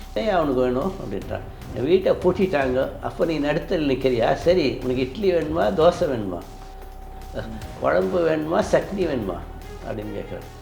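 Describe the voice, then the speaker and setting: Music plays in the background. A man speaks at a fairly high pitch with very wide pitch swings. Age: 60s. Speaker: retired professor. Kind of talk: interview testimony. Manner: animated.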